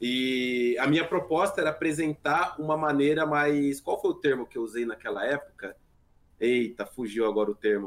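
A man with an unremarkable speaking voice, pitched fairly high, uses ordinary pitch variation and keeps a moderate pace. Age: 30s. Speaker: gaming YouTuber. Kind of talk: casual chat.

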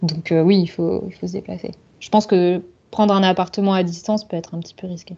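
Her tone dark and mellow, a woman speaks fast-ish at a medium pitch in a monotone, flat way while her loudness swings widely. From south-west France, Bordeaux. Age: 30s. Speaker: lawyer, expat. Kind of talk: interview testimony.

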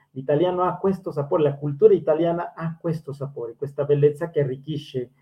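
A man with a fairly high pitch speaks at a fairly quick pace. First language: Spanish (speaking Italian). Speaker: language school host. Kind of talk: interview.

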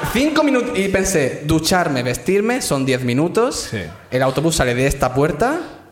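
A man speaks in a fairly high voice with very wide pitch swings over noticeable background noise. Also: moderate pace. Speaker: comedian. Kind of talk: storytelling on stage. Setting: stage with audience.

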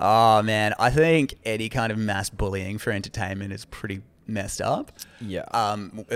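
A man speaks in an Australian accent at a medium pitch. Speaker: podcast co-host, comedian. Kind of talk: casual chat.

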